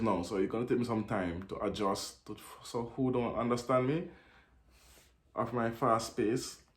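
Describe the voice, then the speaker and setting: At a moderate pace, a man with a medium pitch and ordinary pitch variation speaks amid audible room echo. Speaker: reaction video commentator. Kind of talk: commentary on a video. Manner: halting, repeats words.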